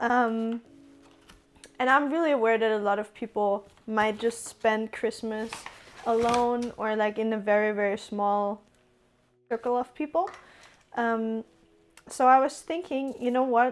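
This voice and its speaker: A speaker with a German accent talks at a fairly slow pace. The pitch varies in an ordinary way. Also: woman, fairly high pitch for a woman. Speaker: streamer. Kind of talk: cooking stream chat.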